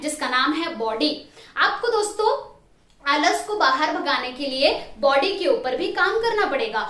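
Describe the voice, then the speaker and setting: Her voice raised and projected, a woman speaks at an extremely high pitch with very wide pitch swings. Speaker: motivational trainer. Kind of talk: motivational talk to camera.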